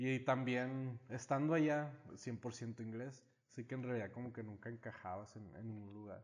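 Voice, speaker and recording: A man speaks at medium pitch and a fairly slow pace, with fairly even intonation and big swings in loudness. It is an unremarkable speaking voice. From United States (Mexican-American, moved to Mexico). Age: 30s. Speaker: small business owner. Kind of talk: casual chat.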